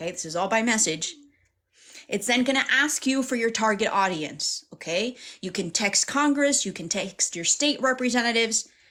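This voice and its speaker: A woman speaks at a fairly high pitch with lively intonation. Her tone is bright and sharp. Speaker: livestream host and activist. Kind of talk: livestream tutorial. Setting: live stream. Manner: fast talker.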